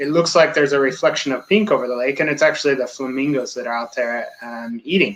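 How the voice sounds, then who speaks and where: Speaking at a very fast pace with hardly any pauses, a man with an American accent uses a fairly high pitch and ordinary pitch variation. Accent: American accent, slightly altered by French. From United States. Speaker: safari guide. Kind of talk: interview.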